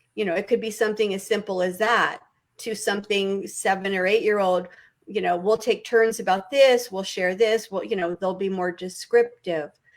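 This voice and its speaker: A woman with a plain, everyday voice holds a medium pitch and fairly even intonation while speaking at a moderate pace. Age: 60s. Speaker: early childhood education expert. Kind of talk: talk show discussion. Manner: conversational with many fillers.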